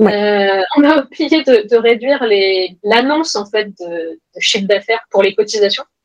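In a plain, everyday voice, a woman with a fairly high pitch speaks at a fairly slow pace with hardly any pauses and lively intonation. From France, Grenoble. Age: 30s. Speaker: entrepreneur. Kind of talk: interview.

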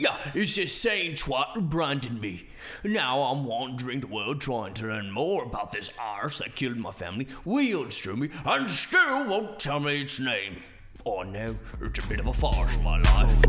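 This man's voice sits at a medium pitch and swings very widely in pitch. He keeps a moderate pace over light background noise. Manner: wry, gruff, sardonic.

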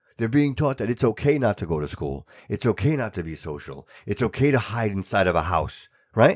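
In a very clean recording with a silent background, a man with a fairly low pitch and vocal fry talks at a fairly quick pace in an animated tone with very wide pitch swings. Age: 40s. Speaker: podcast host. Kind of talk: casual chat. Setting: studio.

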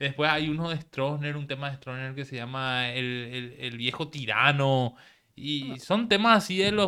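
At a fairly high pitch, a man speaks with a bright, sharp tone, lively intonation and big swings in loudness at a moderate pace, in a very clean recording with a silent background. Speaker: podcast host. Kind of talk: casual chat.

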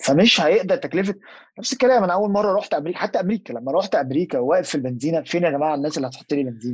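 A high-pitched man talks at a very fast pace with hardly any pauses and lively intonation against a quiet background. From Egypt. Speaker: podcast guest, Egyptian expat. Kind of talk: casual chat.

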